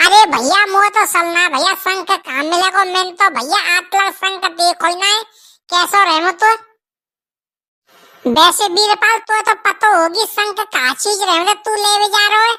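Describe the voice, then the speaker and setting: At a moderate pace, a woman performs a cartoonish character voice pitched extremely high, with ordinary pitch variation. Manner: rustic, chatty, repetitive.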